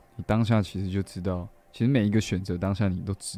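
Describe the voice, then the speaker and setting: A man's fairly low, dark, mellow voice at a fairly quick pace with fairly even intonation. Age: 20s. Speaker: musician and live radio host. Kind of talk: casual live-stream chat. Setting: solo live stream with background music. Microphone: mic too quiet at start.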